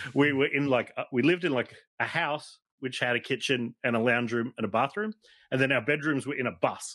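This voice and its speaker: Talking at a fairly quick pace, a man uses an Australian accent. His pitch variation is ordinary. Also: medium pitch for a man, quiet background. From Australia (South Australia, NSW, Tasmania). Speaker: toy collector and photographer. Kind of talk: casual chat. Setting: studio.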